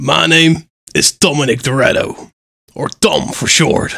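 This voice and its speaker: Putting on a raspy character voice, a man at medium pitch speaks at a fairly slow pace with very wide pitch swings. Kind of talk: comic overacting. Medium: game stream. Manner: cocky, laid-back, mock-serious tough-guy delivery.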